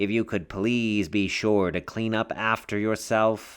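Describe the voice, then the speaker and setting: Shouting in a put-on, nasal character voice, a man speaks at a fairly slow pace with a fairly low pitch and monotone, flat intonation. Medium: read story. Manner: quiet, never shouting.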